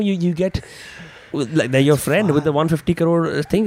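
There is noticeable background noise behind a man whose voice is high-pitched for a man. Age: 20s. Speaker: podcast host. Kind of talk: casual chat.

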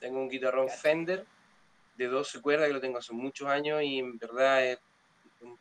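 At a moderate pace, a man is talking. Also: big swings in loudness. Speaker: blues musician. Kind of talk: casual chat.

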